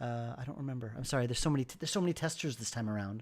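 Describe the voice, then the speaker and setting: The speaker is a man. He has an American accent. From New York. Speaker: game developer streamer. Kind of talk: casual livestream chat. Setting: livestream. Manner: stammering. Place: home room.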